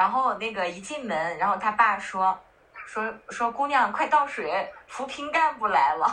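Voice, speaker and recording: Speaking at a fairly slow pace, a woman with a fairly high pitch uses lively intonation over noticeable background noise. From northern China. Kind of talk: casual chat.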